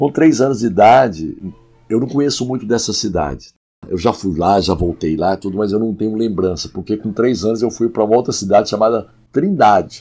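A man with a fairly low pitch speaks at a fairly quick clip while music plays in the background. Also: ordinary pitch variation. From Goiás, Brazil (Goiânia). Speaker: pastor and worship songwriter. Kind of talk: podcast interview.

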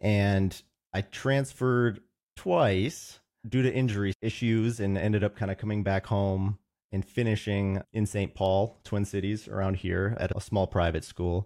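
A man's fairly low voice with an American accent, a plain, everyday voice, fairly slow and fairly even, dry and close with no echo, in a very clean recording with a silent background. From US Midwest, Roseville, Minnesota. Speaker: consultant, consulting firm co-founder. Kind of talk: interview conversation.

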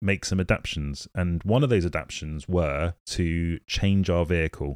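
With a British accent and a very deep, low pitch, a man speaks at a moderate pace with ordinary pitch variation, in a dry, close recording with no echo, very clean, with a silent background. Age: 30s. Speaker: podcast host living with motor neurone disease. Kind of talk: casual monologue.

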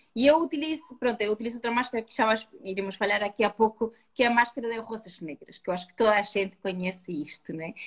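A woman's somewhat breathy voice at a very fast pace, with ordinary pitch variation and big swings in loudness. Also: fairly high pitch for a woman. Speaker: retail beauty host. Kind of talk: online live beauty talk.

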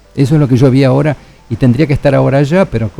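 A man talks at a fairly quick pace as music plays in the background. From Argentina. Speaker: biologist and humanitarian researcher. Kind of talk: radio interview.

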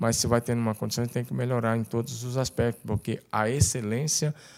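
A man's unremarkable speaking voice at a medium pitch, fairly quick and fairly even in intonation, on a very clean recording with a silent background. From Tocantins, Brazil. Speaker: pastor. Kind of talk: casual chat.

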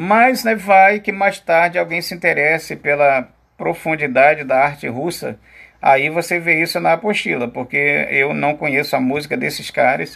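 A man speaks at a moderate pace in an ordinary speaking voice. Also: fairly high pitch for a man, lively intonation. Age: 50s. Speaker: teacher. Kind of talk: lecture.

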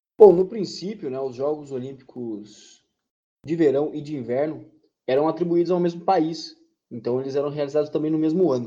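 Speaking at a moderate pace, a man with a fairly high pitch and a dark, mellow tone shows ordinary pitch variation and big swings in loudness. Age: 20s. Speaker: podcast co-host. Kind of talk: educational podcast chat.

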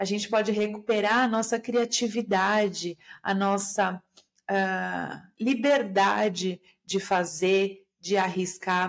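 A calm woman's voice at medium pitch, very slow, with fairly even intonation and very even loudness, on a very clean recording with a silent background. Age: 40s. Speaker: systemic therapist and podcaster. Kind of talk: solo podcast monologue.

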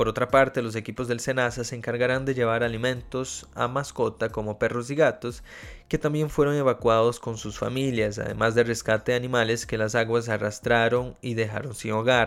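A man with a Portuguese accent speaks at medium pitch and a moderate pace, in monotone, flat intonation with hardly any pauses. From Brazil. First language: Portuguese (speaking Spanish). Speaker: podcast host, journalist. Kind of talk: news reading; interview. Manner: hesitant with fillers.

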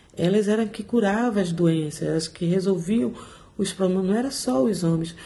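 A woman in an ordinary speaking voice, at medium pitch and moderate pace, with ordinary pitch variation. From Brazil, Salvador (Bahia). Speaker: mental health social worker. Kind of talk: conversational interview.

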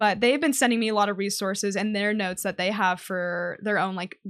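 Against a quiet background, a woman talks at a fairly quick pace in an ordinary speaking voice with a medium pitch. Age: 20s. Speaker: Twitch streamer. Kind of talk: casual interview.

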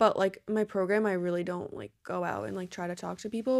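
In a very clean recording with a silent background, a woman with an unremarkable speaking voice talks at a medium pitch and a fairly quick pace, her intonation fairly even. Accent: American. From New Jersey. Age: 20s. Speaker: exercise science student. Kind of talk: casual chat.

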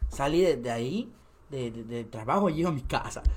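Speaking in a Yucatecan accent, a man keeps a moderate pace. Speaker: content creator. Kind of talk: casual chat.

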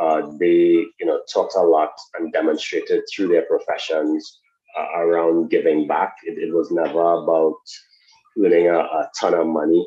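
In a Trinidadian accent, a man speaks at a moderate pace. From Trinidad and Tobago. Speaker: sports education program executive. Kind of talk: interview.

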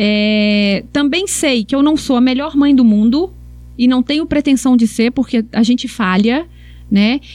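The speaker moves at a fairly slow pace, keeping very even loudness and ordinary pitch variation. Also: woman, high pitch for a woman. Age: 40s. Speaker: sports psychologist. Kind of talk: podcast interview, personal story.

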